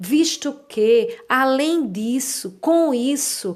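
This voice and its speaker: On a very clean recording with a silent background, a woman speaks at a high pitch. Her voice moves in very wide pitch swings. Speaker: writing teacher. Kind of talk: lecture.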